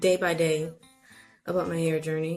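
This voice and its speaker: Over music in the background, a woman speaks at a fairly slow pace in a fairly low pitch with monotone, flat intonation. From Haitian heritage. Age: 30s. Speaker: natural hair vlogger. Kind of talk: casual talk to camera. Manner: chatty, playful.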